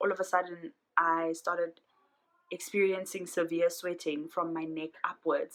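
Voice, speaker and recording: Speaking very slowly at a fairly low pitch, a woman keeps a monotone, flat intonation in a bright, sharp tone. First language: not English. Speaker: vlogger. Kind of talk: personal vlog. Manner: hesitant, many fillers.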